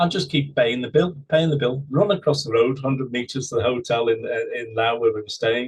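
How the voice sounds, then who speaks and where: Somewhat breathy, a man speaks with an English accent. He talks at a fairly quick pace with hardly any pauses. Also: medium pitch for a man, ordinary pitch variation. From England. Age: 60s. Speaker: husband telling his love story. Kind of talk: interview, personal story.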